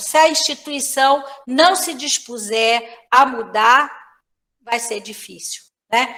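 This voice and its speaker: A woman speaks in a raised, projected voice. Her pitch is high, with ordinary variation. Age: 60s. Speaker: professor. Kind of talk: lecture. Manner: filler-heavy, frequent né.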